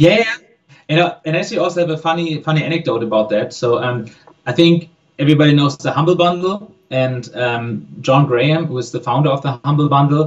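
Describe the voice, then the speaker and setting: A man with a German accent speaks at a fairly high pitch. His pace is fairly quick, with ordinary pitch variation. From Germany. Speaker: game studio co-founder. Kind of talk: interview answer.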